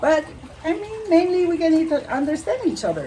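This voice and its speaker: A woman with a strong French Canadian accent speaks at a moderate pace, with audible room echo and noticeable background noise. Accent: thick French Canadian accent in English. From Quebec, French Canada. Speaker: animal communicator and naturopath. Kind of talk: interview. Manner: halting.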